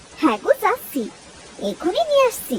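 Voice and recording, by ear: An extremely high, squeaky, cartoonish character voice with very wide pitch swings and clear background noise.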